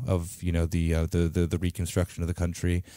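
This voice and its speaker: In a very clean recording with a silent background and dry, close sound without echo, a man with an American accent speaks in a very deep, low pitch with a dark, mellow tone. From United States, Greek American family. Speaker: podcast host. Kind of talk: casual interview. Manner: halting, many fillers.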